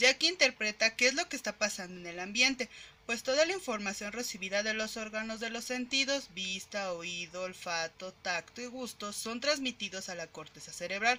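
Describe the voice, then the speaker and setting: A woman with a fairly high pitch and an unremarkable speaking voice talks at a moderate pace with hardly any pauses. Her intonation is lively, and her loudness swings a lot. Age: 20s. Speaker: psychology graduate. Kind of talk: educational presentation. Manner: formal.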